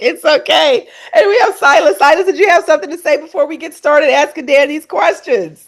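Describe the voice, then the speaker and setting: Her pitch is extremely high and swings very widely. The woman's loudness also rises and falls in big swings. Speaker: podcast host, medical equipment specialist. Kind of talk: interview. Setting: podcast.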